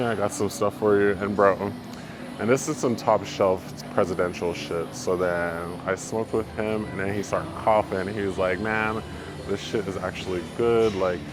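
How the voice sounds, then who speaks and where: There is audible room echo and noticeable background noise. A man speaks at a moderate pace. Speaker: vlogger and amateur rapper. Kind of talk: casual vlog storytelling. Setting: gym. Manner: monotone.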